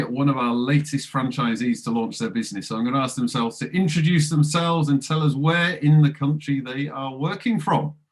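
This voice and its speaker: A man speaks at a fairly quick pace with hardly any pauses, noticeable background noise running underneath. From Kent, England (Chatham). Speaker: franchise recruitment host. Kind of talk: interview.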